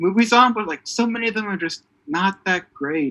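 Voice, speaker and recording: With a bright, sharp tone, a man speaks in a raised, projected voice. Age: 20s. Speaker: podcast co-host. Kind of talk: casual chat. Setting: video call. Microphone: better audio quality than usual.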